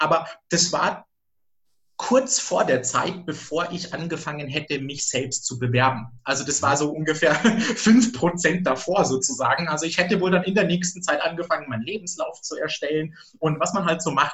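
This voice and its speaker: A man's fairly high voice, a plain, everyday voice, moves at a moderate pace and shows ordinary pitch variation. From rural Germany. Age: 30s. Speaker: HR recruiter, former hotel worker. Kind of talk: interview.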